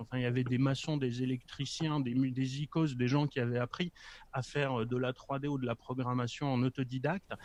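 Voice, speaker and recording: Moving at a moderate speed, this man's speech sits fairly high in pitch. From Poland. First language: Polish (speaking French). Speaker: communications professional, former games press officer. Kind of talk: casual chat.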